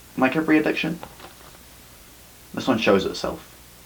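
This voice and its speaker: Very wide pitch swings run through this voice, set against noticeable background noise. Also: man. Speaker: slam poet. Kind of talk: slam poetry performance.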